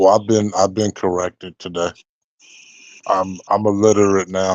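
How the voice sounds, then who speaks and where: In an American accent, a man with a very deep, low voice talks at a moderate pace in a monotone, flat intonation. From California. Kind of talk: casual chat.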